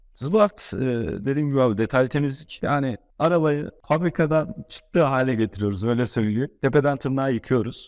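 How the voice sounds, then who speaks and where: Over a very clean recording with a silent background, a plain, everyday voice speaks at a moderate pace with lively intonation. The sound is dry and close, with no echo. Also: man. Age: 20s. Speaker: car wash owner. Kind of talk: casual interview.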